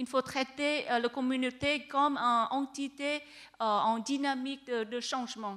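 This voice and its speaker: A woman speaks in a bright, sharp, high voice with a non-native accent. Her intonation is monotone and flat, and her pace is fairly slow. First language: not French (speaking French). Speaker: researcher. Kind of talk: panel discussion. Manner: halting.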